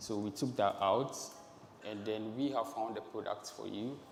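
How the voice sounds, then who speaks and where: Audible room echo surrounds a man speaking at a moderate pace in a fairly low pitch. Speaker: marketing lead presenting a startup. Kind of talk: stage presentation. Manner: halting, many fillers.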